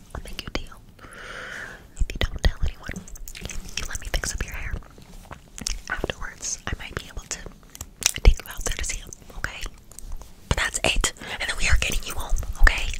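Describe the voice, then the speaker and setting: A woman whispering at a fairly quick pace. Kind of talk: roleplay talk to the viewer as a character. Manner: soft close-mic ASMR voice. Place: home room.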